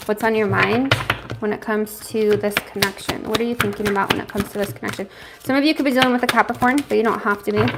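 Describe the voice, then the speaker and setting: Over noticeable background noise, a woman talks very fast at a fairly high pitch with fairly even intonation. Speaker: tarot reader. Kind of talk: live tarot reading. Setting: home livestream.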